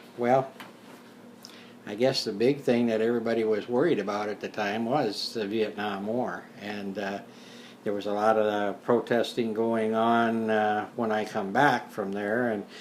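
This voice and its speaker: Fairly slow and monotone, a man talks in flat intonation at a fairly low pitch. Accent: American. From South Dakota, US Midwest. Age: 60s. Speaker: retired teacher and war veteran. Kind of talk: interview. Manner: hesitant, many fillers.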